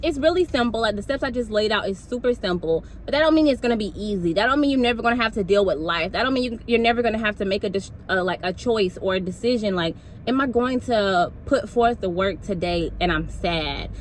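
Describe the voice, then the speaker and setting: A woman speaks at a very fast pace with a fairly high pitch, an animated tone and lively intonation. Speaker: motivational speaker. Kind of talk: motivational talk.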